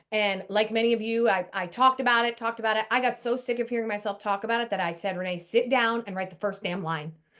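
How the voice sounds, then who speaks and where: Speaking in a normal speaking voice with an American accent, a woman talks at a fairly quick pace and fairly high pitch, with ordinary pitch variation. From US. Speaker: Broadway performer and communication speaker. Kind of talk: video call interview.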